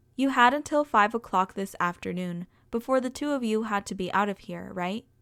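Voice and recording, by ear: A natural voice reading aloud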